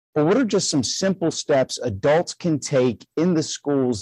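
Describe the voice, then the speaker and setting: Against a quiet background with a dry, close sound and no echo, a man with a plain, everyday voice speaks fairly slowly with lively intonation. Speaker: podcast co-host, educator. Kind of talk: interview. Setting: video call.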